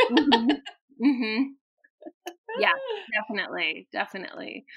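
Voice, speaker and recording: A woman's normal speaking voice, fairly high in pitch, with ordinary pitch variation at a moderate pace. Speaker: Montessori teacher trainer. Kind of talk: interview.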